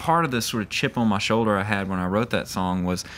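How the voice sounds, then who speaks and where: A man with a strong Mississippi accent, a fairly quick pace and ordinary pitch variation. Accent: deep Mississippi. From US South, Mississippi. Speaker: country singer. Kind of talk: casual interview. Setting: outdoors at a music festival.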